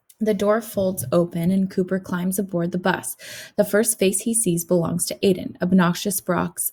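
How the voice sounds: Fairly even intonation runs through a natural reading voice here.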